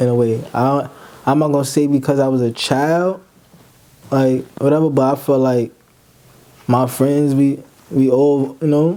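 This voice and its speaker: Speaking at a fairly slow pace with long, frequent pauses, a man with a fairly high pitch keeps his intonation fairly even and his loudness very even. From Brooklyn, New York (Brownsville). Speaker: rapper. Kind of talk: casual interview.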